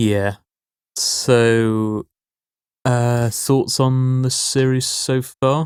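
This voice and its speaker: Speaking very slowly in a monotone, flat line at medium pitch, a man leaves long, frequent pauses. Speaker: podcast co-host. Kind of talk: casual chat.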